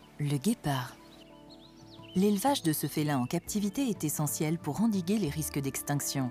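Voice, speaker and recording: The voice swings very widely in pitch while music plays in the background. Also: woman. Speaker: voice-over actress, documentary narrator. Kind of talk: wildlife documentary narration.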